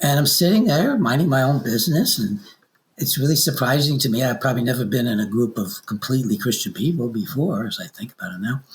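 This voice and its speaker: Talking at a fairly quick pace, a man of medium pitch sounds somewhat breathy. His intonation is lively. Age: 80s+. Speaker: author. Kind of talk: interview. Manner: halting.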